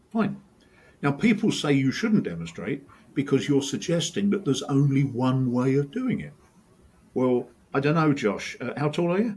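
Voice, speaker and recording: A somewhat breathy man with an English accent, a fairly high pitch and very wide pitch swings. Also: moderate pace. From England. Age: old. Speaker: sport science professor. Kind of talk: casual chat. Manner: animated.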